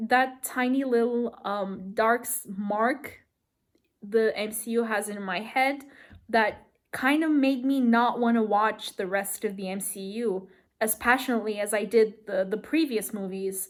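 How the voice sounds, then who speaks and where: With a non-native accent, a woman speaks at a fairly slow pace and a fairly high pitch. Her intonation is fairly even, and the recording is very clean with a silent background. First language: not English. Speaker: movie review vlogger. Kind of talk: casual vlog rant. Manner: halting, many fillers.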